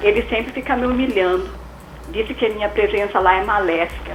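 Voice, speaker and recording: Over noticeable background noise, a woman talks in a fairly high pitch with ordinary pitch variation. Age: 60s. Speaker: caller. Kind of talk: call-in question on radio. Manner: halting.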